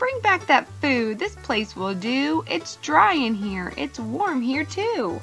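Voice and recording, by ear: A woman's high-pitched, put-on character voice with big pitch swings, vocal fry and a slow pace, over faint background music. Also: fairly bright tone.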